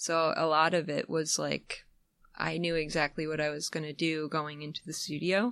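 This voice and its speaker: The speech comes at a moderate pace against a quiet background, the sound dry and close with no echo. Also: woman. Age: 30s. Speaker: musician. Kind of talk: casual chat. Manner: halting.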